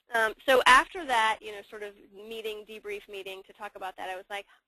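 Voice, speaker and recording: Speaking at a fairly quick pace, a woman uses a fairly high pitch and ordinary pitch variation. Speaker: services team lead. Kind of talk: webinar presentation. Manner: fast.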